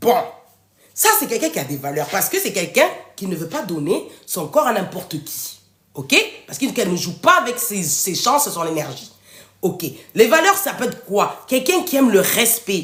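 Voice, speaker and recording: A woman speaks at a medium pitch and a moderate pace, in an animated tone. Her pitch swings very widely, and her loudness rises and falls in big swings. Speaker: author and live-stream host. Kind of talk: live stream talk to viewers. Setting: live video stream.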